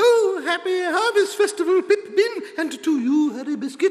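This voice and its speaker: An extremely high-pitched, put-on character voice talks at a moderate pace. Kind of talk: playful.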